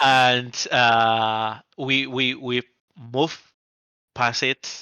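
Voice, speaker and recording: With a Barcelona accent, a man speaks at a medium pitch in a monotone, flat intonation. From Spain, Barcelona. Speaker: app company founder. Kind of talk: podcast interview.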